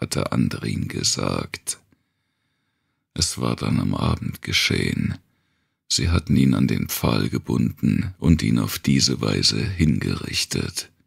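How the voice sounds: A man's slow speech with big pitch swings, vocal fry and a slightly husky edge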